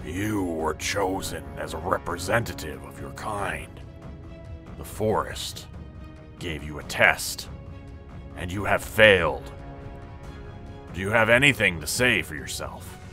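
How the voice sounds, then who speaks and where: Over clear background music, a man speaks fairly slowly in a rumbling, put-on character voice. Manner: stern, judging.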